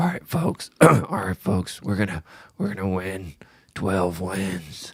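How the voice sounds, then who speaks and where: The voice is a put-on character. Its pace is fairly slow. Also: man, very deep, low pitch for a man. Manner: sinister, gleeful.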